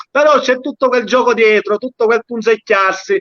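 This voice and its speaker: A man with an extremely high pitch and a bright, sharp tone. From Sicily, Castellammare del Golfo. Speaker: dialect poet. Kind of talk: casual chat.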